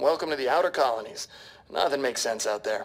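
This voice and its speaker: A man's raspy, put-on character voice at a medium pitch, delivered at a very fast pace. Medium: audio drama. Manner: breezy, upbeat.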